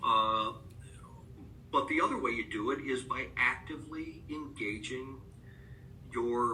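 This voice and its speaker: A man speaks with an American accent. Audible room echo and noticeable background noise are present. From Upstate New York. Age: 50s. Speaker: author and rare disease advocate. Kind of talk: interview. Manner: halting, many fillers.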